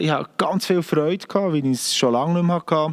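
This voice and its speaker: A man of fairly high pitch with a strong Bernese accent. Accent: broad Bernese Swiss German. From Bern, Switzerland. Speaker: singer-songwriter. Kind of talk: casual monologue to camera.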